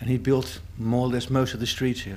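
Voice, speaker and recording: A man speaks with a Dutch accent. His pitch sits in the medium range. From Amsterdam, Netherlands. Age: 50s. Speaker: psychiatric nurse and community volunteer. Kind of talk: interview testimony.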